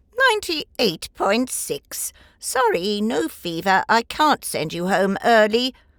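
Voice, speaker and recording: A woman's put-on character voice, fairly high in pitch, fairly slow, with lively intonation, in a dry, close sound with no echo. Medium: read story. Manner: brisk, clinical.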